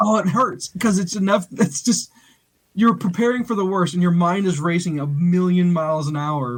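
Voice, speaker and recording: A man speaks at a high pitch. His pitch variation is ordinary. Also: moderate pace. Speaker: podcast co-host. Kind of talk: casual chat. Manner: animated; loud.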